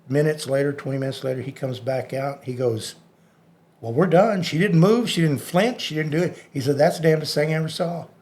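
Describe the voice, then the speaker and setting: A man with a Texan accent speaks at a moderate pace in a fairly high voice. His delivery is somewhat breathy, with ordinary pitch variation. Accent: Texan American. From Texas, Dallas area. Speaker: hypnotist. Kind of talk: interview storytelling.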